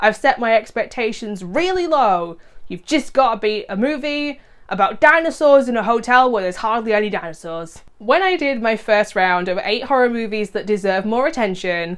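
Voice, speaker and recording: Enthusiastic woman's voice, fairly high-pitched, with very wide pitch swings. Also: moderate pace. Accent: British. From UK. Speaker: horror movie YouTuber. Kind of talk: casual video monologue previewing movies. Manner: conversational, enthusiastic.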